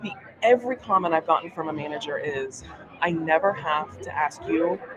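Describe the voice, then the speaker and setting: A woman talks at a fairly quick pace with a fairly low pitch, lively intonation and big swings in loudness, over noticeable background noise. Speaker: animal health professional. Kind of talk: casual chat. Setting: live at a conference, noisy surroundings.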